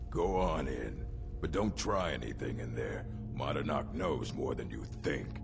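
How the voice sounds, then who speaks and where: Loud music plays in the background behind a put-on character voice. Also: man, moderate pace. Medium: machinima. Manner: menacing, leering.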